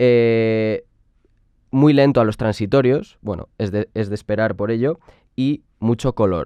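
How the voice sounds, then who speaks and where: The man's tone is dark and mellow, and the sound is dry and close with no echo. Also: ordinary pitch variation, fairly slow pace. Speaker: music production youtuber. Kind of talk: product review. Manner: animated.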